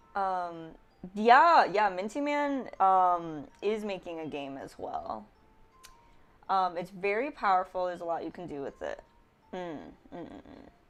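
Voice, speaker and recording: Over background music, a woman speaks at medium pitch and a fairly slow pace with long, frequent pauses. Her intonation is lively, with big swings in loudness. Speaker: game dev livestreamer. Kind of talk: casual livestream chat.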